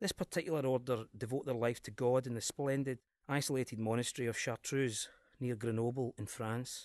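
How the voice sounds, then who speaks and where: A man's medium-pitched voice in a Glaswegian accent at a fairly quick pace, dry and close with no echo, over a quiet background. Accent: Scottish, Glasgow area. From Glasgow area, Scotland. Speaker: cinema programmer, podcast presenter. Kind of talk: scripted-style podcast presentation about films. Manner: informal, enthusiastic.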